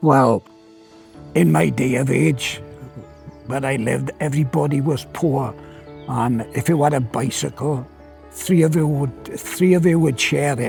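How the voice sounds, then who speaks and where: A man at a medium pitch speaks at a fairly slow pace with lively intonation and long, frequent pauses. Music plays in the background. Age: 80s+. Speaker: former coal miner. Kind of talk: interview answer.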